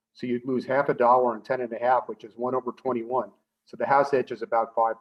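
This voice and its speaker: A man at a medium pitch, fairly quick, with fairly even intonation. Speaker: professor. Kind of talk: lecture. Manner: fast.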